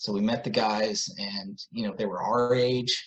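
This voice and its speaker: Speaking with an American accent, this man has a medium pitch, ordinary pitch variation and an unremarkable speaking voice. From US South (Atlanta). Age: 40s. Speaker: musician and author. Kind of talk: casual interview.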